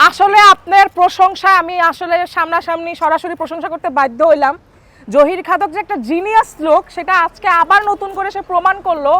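An animated woman speaks at an extremely high pitch with ordinary pitch variation, in a dry, close sound with no echo. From Bangladesh, Noakhali (Senbag). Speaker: street food vlogger. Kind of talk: casual on-street vlog.

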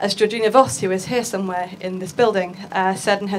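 A woman speaks in an English accent at medium pitch. She goes at a fairly quick pace over light background noise. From England. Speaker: futures and art researcher; conference panelist. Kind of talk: conference talk. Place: hall. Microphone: handheld.

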